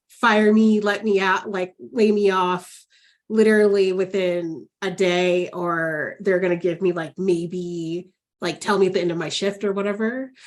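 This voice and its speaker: With a normal speaking voice, a woman talks at a fairly slow pace and keeps her intonation fairly even. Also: medium pitch for a woman. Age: 40s. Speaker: counselor educator, podcast host. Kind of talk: podcast interview. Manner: casual, filler-heavy.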